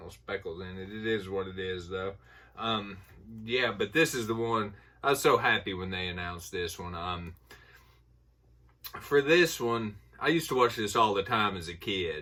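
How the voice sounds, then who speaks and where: A man with a fairly low pitch and a bright, sharp tone leaves long, frequent pauses. His loudness swings widely. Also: ordinary pitch variation, moderate pace. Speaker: YouTuber reviewing horror film purchases. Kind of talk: casual unboxing haul video. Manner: casual, filler-heavy with ums and uhs.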